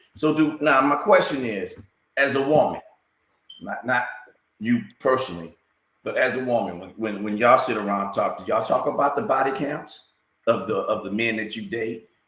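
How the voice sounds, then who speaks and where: Audible room echo surrounds a man's fairly high voice. His pitch swings very widely. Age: 60s. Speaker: talk show co-host. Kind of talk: casual chat. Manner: slow; halting.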